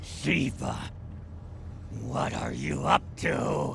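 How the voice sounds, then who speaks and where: Over clear background noise, a man performs in a put-on character voice. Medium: fan dub. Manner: commanding, tense.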